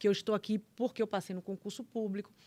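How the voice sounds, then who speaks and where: On a very clean recording with a silent background, a woman with a Bahian accent and a fairly high pitch speaks at a fairly quick pace. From Bahia, Brazil. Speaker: public prosecutor. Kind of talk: casual chat.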